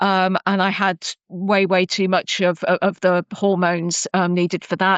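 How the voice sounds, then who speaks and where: A woman with an English accent speaks at medium pitch in a monotone, flat way. The background is quiet, and the sound is dry and close with no echo. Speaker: cybersecurity professional. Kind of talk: interview. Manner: hesitant, many fillers.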